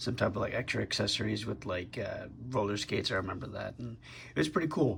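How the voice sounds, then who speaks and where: A man speaks at a fairly low pitch with vocal fry. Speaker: toy collector YouTuber. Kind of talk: product review. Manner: casual with many fillers.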